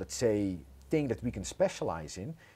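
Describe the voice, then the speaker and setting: A man with a Dutch accent speaks in a fairly low, dark, mellow voice with very wide pitch swings, in a very clean recording with a silent background. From Netherlands. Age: 30s. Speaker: entrepreneur. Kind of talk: interview.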